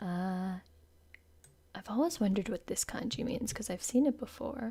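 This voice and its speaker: A woman speaks quietly in a somewhat breathy, dark and mellow voice with ordinary pitch variation. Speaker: VTuber streamer. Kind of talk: live stream lyric analysis.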